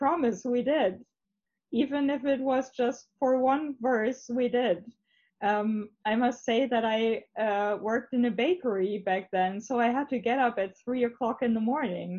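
Speaking fairly slowly in a high voice with a German accent, a woman keeps her loudness very even while her pitch varies in an ordinary way. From northern Germany, Hamburg area. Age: 30s. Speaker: interviewee, married convert. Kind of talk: testimony. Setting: video call.

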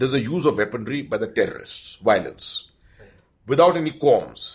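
Fairly high in pitch, this man's voice is somewhat breathy. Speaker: retired army general. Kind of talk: interview.

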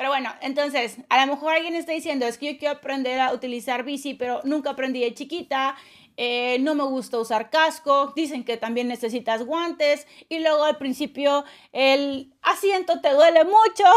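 High pitch from a woman, its variation ordinary. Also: moderate pace, very clean recording, silent background. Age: 30s. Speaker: leadership coach and podcast host. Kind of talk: motivational monologue. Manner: casual, with laughs.

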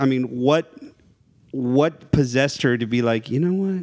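A man with a plain, everyday voice and an American accent speaks fairly slowly, his pitch fairly high and his pitch variation ordinary. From South Texas, near the Mexican border. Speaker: horror movie enthusiast. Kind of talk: casual chat.

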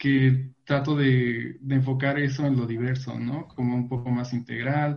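At a fairly slow pace, a man speaks in a monotone, flat delivery, somewhat breathy and medium in pitch. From Veracruz, Mexico. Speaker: LGBT youth activist. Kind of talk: panel discussion.

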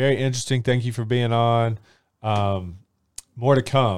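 Recorded very cleanly with a silent background, a man speaks at a medium pitch with ordinary pitch variation. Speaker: podcast host. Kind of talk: interview. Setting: studio. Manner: enthusiastic.

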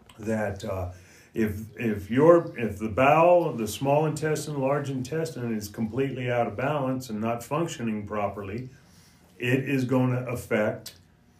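Noticeable background noise behind a man's medium-pitched voice, with ordinary pitch variation at a fairly slow pace. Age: 60s. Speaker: natural health practitioner. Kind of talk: casual chat.

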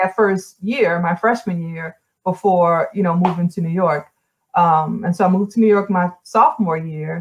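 A woman speaks at a moderate pace in a fairly low pitch. Her voice is somewhat breathy, with ordinary pitch variation. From New Orleans, Louisiana. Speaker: former 3D modeler and community developer. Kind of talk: interview, casual chat. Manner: hesitant, many fillers.

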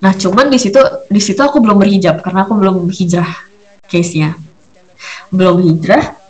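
Despite long, frequent pauses, a woman talks at a fairly quick pace, her medium pitch showing ordinary variation and her loudness very even. Noticeable background noise and audible room echo fill the recording. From Surabaya, Indonesia. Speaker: podcast host, homemaker and entrepreneur. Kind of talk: casual monologue chat.

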